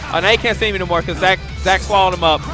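A man's voice in a dry sound with no echo, over clear music in the background. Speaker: tournament commentator. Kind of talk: commentary. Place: hall.

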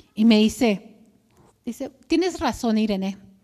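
Against a quiet background, a woman with a fairly high pitch speaks at a fairly slow pace. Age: 50s. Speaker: churchgoer, clinic worker and cancer survivor; speaker. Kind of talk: testimony. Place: church.

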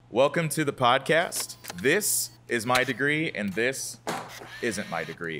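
Faint music plays in the background as a man speaks with an American accent. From St. Louis, US Midwest; Missouri. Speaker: podcast host. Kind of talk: casual interview; scripted intro. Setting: restaurant. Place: cafe. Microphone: studio mic.

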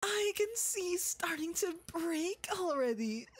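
Soft-spoken delivery in a put-on character voice. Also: man. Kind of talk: ASMR roleplay. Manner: soft-spoken, menacing, dominant.

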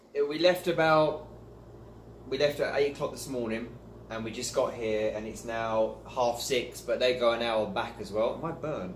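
A man speaks with ordinary pitch variation and a somewhat breathy voice, with light background noise and audible room echo. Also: moderate pace. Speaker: vlogger. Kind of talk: casual vlog chat. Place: home room. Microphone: phone near.

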